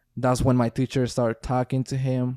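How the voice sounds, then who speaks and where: A man speaks in a Spanish accent with a dark, mellow tone. The sound is dry and close, with no echo. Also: very clean recording, silent background. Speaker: former pro baseball player and businessman. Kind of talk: casual podcast chat.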